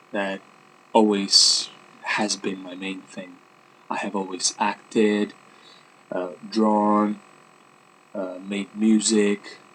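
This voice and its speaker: Amid noticeable background noise, a man with a non-native accent talks at a very slow pace in a fairly low voice. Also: long, frequent pauses, big swings in loudness. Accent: non-native English speaker. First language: Italian. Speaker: vlogger and life coach. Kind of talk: casual vlog monologue. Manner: hesitant, many fillers.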